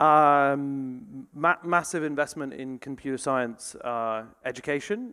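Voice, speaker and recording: A man speaks at a very slow pace in a bright, sharp tone, his pitch fairly high with ordinary variation, against a quiet background. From England. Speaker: AI company executive; panelist. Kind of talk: panel discussion. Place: hall. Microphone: handheld.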